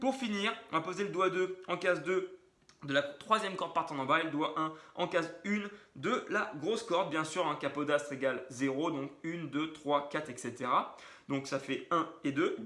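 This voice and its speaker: Noticeable background noise behind a man talking at a moderate pace, his pitch fairly high and its variation ordinary. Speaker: guitar teacher. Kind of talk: tutorial.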